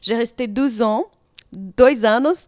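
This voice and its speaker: A woman with a Brazilian accent and fairly even intonation over a quiet background. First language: Portuguese (speaking French). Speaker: reality TV personality and model; interviewee, actress. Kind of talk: interview answers. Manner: hesitant, many fillers. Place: studio. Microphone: handheld.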